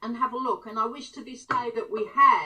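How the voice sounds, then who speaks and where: A woman speaks in a raised, projected voice at a high pitch. Her pace is moderate, and her pitch variation is ordinary. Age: 70s. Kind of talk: interview answer.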